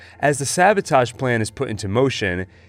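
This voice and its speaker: With music in the background, a man of medium pitch talks at a moderate pace, his pitch swinging very widely. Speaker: TV review YouTuber. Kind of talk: spoken review to camera.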